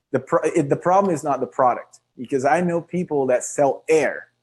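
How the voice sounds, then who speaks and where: In a Portuguese accent, the speaker talks at a moderate pace with ordinary pitch variation against a quiet background. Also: man. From Brazil. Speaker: online marketing speaker. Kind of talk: webinar presentation. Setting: video call livestream. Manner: animated.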